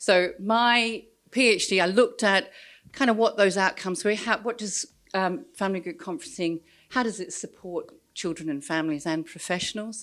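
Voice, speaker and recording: A woman with an Australian accent, medium pitch, ordinary pitch variation, and a moderate pace. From Australia, rural New South Wales. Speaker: social work researcher. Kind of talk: conference talk. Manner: hesitant, many fillers.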